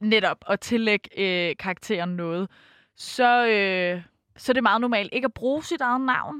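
A woman speaks at a fairly slow pace and a fairly high pitch, with big swings in loudness, in an unremarkable speaking voice. The sound is dry and close, with no echo. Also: ordinary pitch variation, quiet background. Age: 20s. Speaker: fan fiction writer. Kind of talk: interview. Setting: studio.

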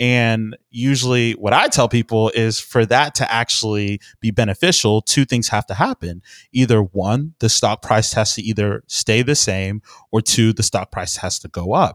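With an American accent and an ordinary speaking voice, a man talks at medium pitch and a moderate pace with ordinary pitch variation, the sound dry and close with no echo on a very clean recording with a silent background. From Texas, Houston. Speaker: financial planner. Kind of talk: interview. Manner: frequent laughs, repeats words.

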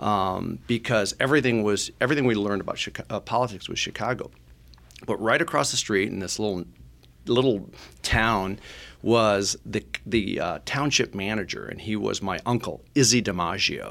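In a very clean recording with a silent background, a man with an American accent speaks at a fairly low pitch with ordinary pitch variation and vocal fry. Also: moderate pace. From Michigan. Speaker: political pollster. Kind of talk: podcast interview.

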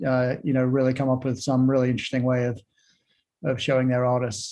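The man speaks at a medium pitch in a dark, mellow tone. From London, England. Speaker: podcast host. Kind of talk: interview. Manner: hesitant, many fillers and repeats.

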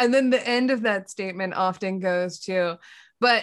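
A woman with an American accent speaks at a moderate pace, with ordinary pitch variation. It is a normal speaking voice. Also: very clean recording, silent background. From Pennsylvania. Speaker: architect and podcast host. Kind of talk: casual chat.

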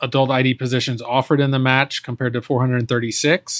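An ordinary speaking voice from a man, fairly high in pitch, at a moderate pace, with dry, close sound and no echo. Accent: American. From Texas. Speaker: infectious disease physician and professor. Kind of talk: casual professional interview.

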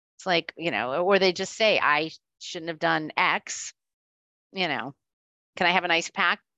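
A woman with an American accent, a fairly low pitch, ordinary pitch variation and a moderate pace. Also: long, frequent pauses. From Florida. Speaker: insurance claims executive. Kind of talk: interview.

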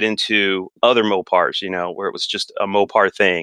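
A man with an American accent speaks at a moderate pace in a bright, sharp tone, the sound dry and close with no echo against a quiet background. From California. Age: 40s. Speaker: car enthusiast. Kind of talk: casual chat.

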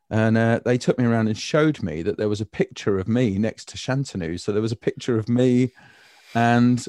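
A man with a British accent speaks at a moderate pace in a medium pitch, his tone dark and mellow, the sound dry and close with no echo over a quiet background. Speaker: design trainer and educator. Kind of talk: casual chat. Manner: humorous, joking.

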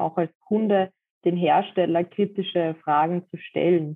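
A woman's fairly low-pitched voice. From Austria, Vienna. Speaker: dog harness maker. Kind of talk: interview.

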